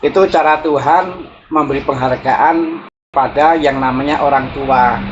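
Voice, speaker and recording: Someone talks at a fairly slow pace with a strong Javanese accent. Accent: strong Javanese accent, also in Sundanese. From Java (Javanese). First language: Javanese (speaking Indonesian). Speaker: spiritual teacher. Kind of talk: reflective talk. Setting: outdoors, walking.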